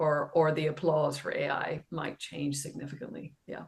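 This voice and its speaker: A woman is speaking. She has an Irish accent. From Ireland, west of Ireland. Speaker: professor, digital education expert. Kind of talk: podcast interview.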